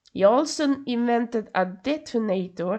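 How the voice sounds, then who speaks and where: The background is quiet. A woman speaks with a Swedish accent. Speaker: podcast host. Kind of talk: solo podcast narration. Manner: halting, stumbling over words; casual asides.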